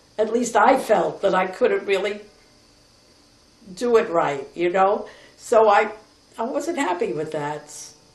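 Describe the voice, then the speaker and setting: Amid audible room echo and noticeable background noise, a woman with an American accent speaks at a fairly slow pace with lively intonation and long, frequent pauses. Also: medium pitch for a woman. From New York City, Lower East Side. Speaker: grandmother telling her life story. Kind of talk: personal reminiscence.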